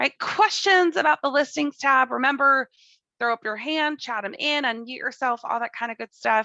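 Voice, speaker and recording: Raised and projected, a woman's high-pitched voice has a bright, sharp tone and ordinary pitch variation. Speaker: software trainer. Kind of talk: live tutorial. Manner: enthusiastic; fast.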